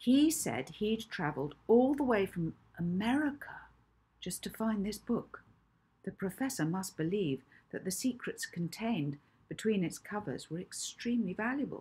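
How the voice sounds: A woman talks at medium pitch and a moderate pace, her intonation lively. Her tone is dark and mellow, with a husky, rough edge.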